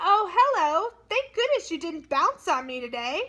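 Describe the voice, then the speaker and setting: Putting on a squeaky character voice, a woman speaks at an extremely high pitch and a fairly slow pace, with very wide pitch swings and big swings in loudness. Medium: read story. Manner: fussy, agitated.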